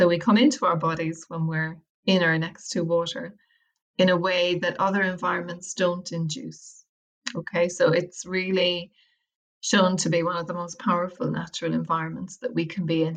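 With an Irish accent, a woman speaks at a fairly low pitch and a moderate pace, her intonation fairly even. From Ireland, County Wicklow. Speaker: academic and well-being practitioner, author. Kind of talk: interview.

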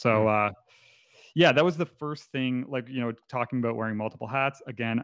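A man with a Canadian accent has an unremarkable speaking voice at medium pitch. He keeps a moderate pace and ordinary pitch variation. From Canada. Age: 30s. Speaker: photographer. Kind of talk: casual chat.

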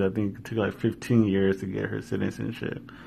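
With an American accent, a man talks at a moderate pace in a fairly low pitch, an unremarkable speaking voice. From US West Coast (Washington, California), Mexican family. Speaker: podcast host. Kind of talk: casual solo monologue. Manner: laughs often, many fillers.

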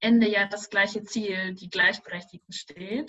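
A woman's fairly slow, fairly even-toned speech. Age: 20s. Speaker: doctoral researcher and policy consultant. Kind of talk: interview.

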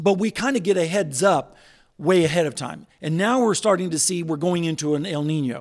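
A high-pitched man with an American accent and ordinary pitch variation, on a very clean recording with a silent background. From northeastern Oklahoma. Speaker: meteorologist. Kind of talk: interview.

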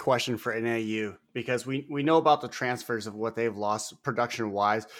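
A man speaks at a medium pitch and a moderate pace, with hardly any pauses. His pitch variation is ordinary, and the recording is very clean with a silent background. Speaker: firefighter and podcast co-host. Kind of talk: casual chat. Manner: loud; excitable.

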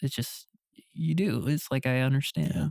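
An unremarkable speaking voice moves at a moderate pace. The sound is dry and close, without echo. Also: man. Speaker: videographer. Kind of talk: casual chat.

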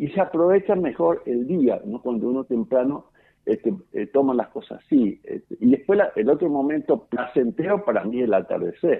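A man talks at a moderate pace with lively intonation. His pitch is fairly high. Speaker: farmer. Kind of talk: phone interview. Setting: phone call. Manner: halting, many fillers and repetitions.

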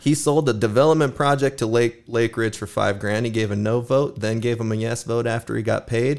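A man with an American accent, an unremarkable speaking voice and a medium pitch talks at a fairly quick pace with hardly any pauses and fairly even intonation, on a very clean recording with a silent background. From Sparks, Nevada. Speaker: podcast host. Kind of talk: casual chat.

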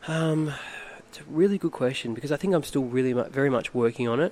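A man's speech shows ordinary pitch variation, with noticeable background noise behind it. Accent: Australian. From Australia, Phillip Island, Victoria. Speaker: model and former school teacher. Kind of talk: casual chat.

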